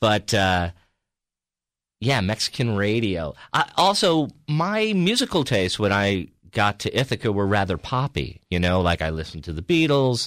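With an American accent, a man with a fairly low pitch speaks at a moderate pace with very wide pitch swings, on a very clean recording with a silent background and a dry, close sound with no echo. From New York (Peekskill, Hudson Valley). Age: 50s. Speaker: stand-up comedian. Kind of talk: casual chat.

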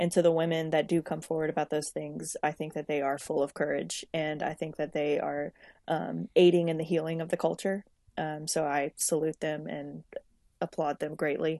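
A woman's very deep, low voice with a dark, mellow tone, monotone and flat, at a moderate pace, dry and close with no echo over a quiet background. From Louisiana, Lafayette. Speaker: nonprofit case manager. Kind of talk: casual chat.

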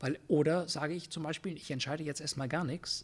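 A man with a fairly high pitch and a somewhat breathy voice speaks at a fairly quick pace, his intonation fairly even. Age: 60s. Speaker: Jesuit priest and philosophy professor, leadership consultant. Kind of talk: interview conversation. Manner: hesitant with many fillers.

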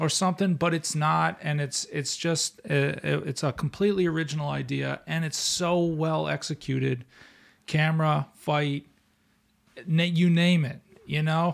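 The recording is very clean, with a silent background. A man speaks at a moderate pace with a fairly high pitch and fairly even intonation. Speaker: podcast co-host. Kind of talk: casual chat.

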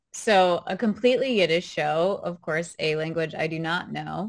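In a quiet background, a woman with an American accent uses a plain, everyday voice with fairly low pitch. She speaks at a fairly slow pace with ordinary pitch variation. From US South, New Orleans, Louisiana. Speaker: Broadway performer. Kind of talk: casual interview.

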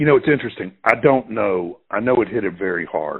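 Lively intonation marks a man speaking in a Mississippi accent. He talks at a fairly quick pace. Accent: Mississippi Southern US. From US South, Clarksdale, Mississippi. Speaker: journalist and author. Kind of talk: casual interview conversation.

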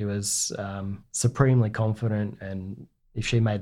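Dark and mellow in tone, a man's fairly low voice comes through on a very clean recording with a silent background. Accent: Australian. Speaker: navy veteran. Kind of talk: interview.

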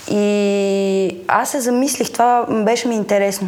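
Over noticeable background noise and audible room echo, a woman talks in a medium pitch with monotone, flat intonation. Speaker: actress and audiobook narrator. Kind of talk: casual chat.

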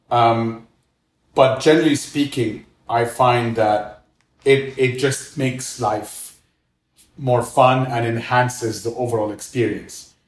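A man with an Arabic accent speaks very slowly in a somewhat breathy voice, his intonation fairly even. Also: medium pitch for a man. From Egypt, Cairo. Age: 40s. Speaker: restaurant co-founder and former finance executive. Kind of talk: interview, casual conversation.

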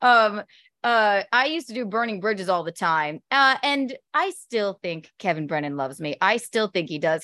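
A woman with an American accent speaks at a moderate pace and a medium pitch, with very wide pitch swings. Her tone is bright and sharp, in a dry, close sound with no echo. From US South. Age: 30s. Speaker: comedian. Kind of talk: casual chat. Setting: video call.

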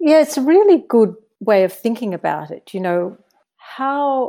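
A woman with an Australian accent speaks at a moderate pace with lively intonation. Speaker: diplomat. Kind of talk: interview. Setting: remote call.

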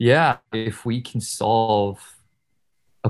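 A man's medium-pitched voice with vocal fry and fairly even intonation, over a quiet background. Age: 20s. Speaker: DAO founder. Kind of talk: interview. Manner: halting, many fillers.

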